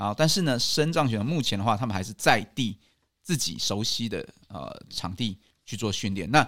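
At a moderate pace, a man speaks in a plain, everyday voice at a medium pitch on a very clean recording with a silent background. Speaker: rehabilitation physician and national team doctor. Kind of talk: interview.

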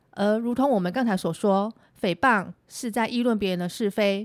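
On a very clean recording with a silent background and a dry, close sound without echo, a woman with a plain, everyday voice speaks at a moderate pace in a medium pitch with ordinary pitch variation. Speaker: lawyer. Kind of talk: scripted legal explainer podcast.

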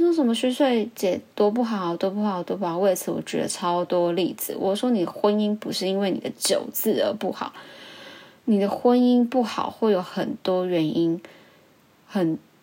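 A woman's medium-pitched, dark and mellow voice with ordinary pitch variation. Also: moderate pace. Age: 20s. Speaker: podcast host. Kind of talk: casual monologue.

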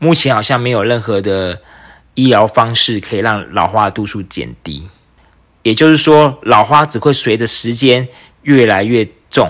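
This man has a normal speaking voice at a medium pitch with ordinary pitch variation. He talks at a fairly slow pace. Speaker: podcast host and entrepreneur. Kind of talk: solo podcast monologue.

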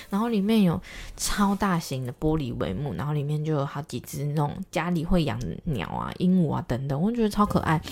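With a very deep, low voice and very wide pitch swings, a woman speaks at a fairly quick pace. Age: 20s. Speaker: podcast host. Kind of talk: casual monologue. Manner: fast.

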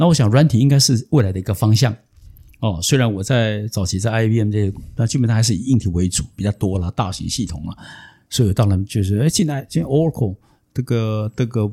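This man has a dark, mellow tone with a somewhat breathy quality and fairly low pitch. He talks at a fairly quick pace with ordinary pitch variation, on a very clean recording with a silent background. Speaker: venture capitalist and former executive. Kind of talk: interview storytelling.

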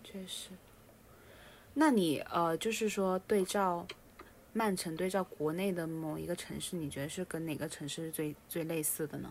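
Her voice is a plain, everyday voice with ordinary pitch variation. This woman speaks at a fairly low pitch. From Guangdong, outside the Pearl River Delta. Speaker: podcast co-host. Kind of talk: casual chat.

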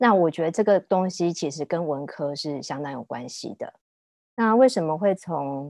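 A woman's fairly low-pitched, ordinary speaking voice with lively intonation and big swings in loudness, at a moderate pace, dry and close with no echo, over a quiet background. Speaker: food journalist and former magazine editor. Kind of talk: casual interview chat.

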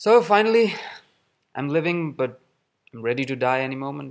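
A man speaks at a medium pitch. His voice makes very wide pitch swings. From Pakistan, Karachi. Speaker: theatre artist. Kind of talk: recorded voice message.

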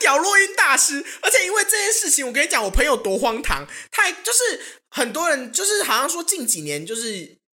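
A woman uses a raised, projected voice with an animated tone, high pitch and very wide pitch swings. She keeps a moderate pace with hardly any pauses. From Taiwan, Hsinchu. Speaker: podcast co-host. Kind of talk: casual chat.

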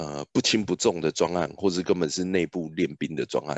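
Vocal fry marks a man's very deep, low voice as he speaks at a fairly quick pace. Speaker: product manager. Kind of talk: casual interview.

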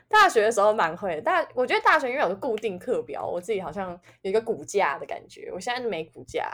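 The speech comes at a very fast pace. Its pitch swings very widely. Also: woman. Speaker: podcast co-host. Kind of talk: casual chat.

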